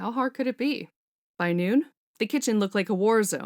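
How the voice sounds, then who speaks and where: In a normal speaking voice, a woman talks at a fairly quick pace with ordinary pitch variation, recorded dry and close with no echo, very clean, on a silent background. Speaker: fanfiction author reading own story. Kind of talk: audiobook narration.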